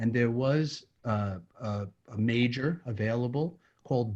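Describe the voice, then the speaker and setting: With an American accent, a man has an unremarkable speaking voice at a medium pitch with ordinary pitch variation against a quiet background. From New York. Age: 60s. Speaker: neurologist. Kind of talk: interview.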